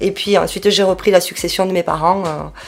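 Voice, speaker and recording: A woman speaks at a medium pitch with fairly even intonation. Noticeable background noise runs behind her. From southern France, Béziers. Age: 40s. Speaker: business owner. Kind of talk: interview. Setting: her office.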